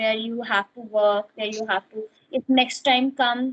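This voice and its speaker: Speaking in an Indian accent, a woman keeps a fairly slow pace and fairly even intonation. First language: Hindi. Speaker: English learner. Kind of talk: casual chat. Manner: halting.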